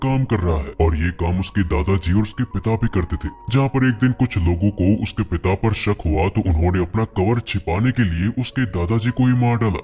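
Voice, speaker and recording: Over clear background noise, a man talks fairly quickly with hardly any pauses, his fairly low voice holding a very even loudness. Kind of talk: movie recap voice-over. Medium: solo performance. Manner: conversational.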